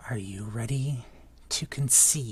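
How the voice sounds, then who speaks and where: Over light background noise, a booming, low-pitched put-on character voice carries the clip. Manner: booming, menacing.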